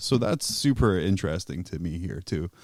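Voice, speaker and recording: Against a silent background on a very clean recording, a man with a very deep, low voice talks at a fairly quick pace with ordinary pitch variation. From Scotland. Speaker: podcast host. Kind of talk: casual chat.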